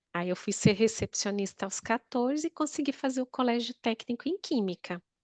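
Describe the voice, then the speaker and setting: A high-pitched woman's voice with lively intonation at a moderate pace, dry and close with no echo, over a quiet background. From Northeast Brazil, Natal. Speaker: therapy client. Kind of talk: therapy session, personal life story.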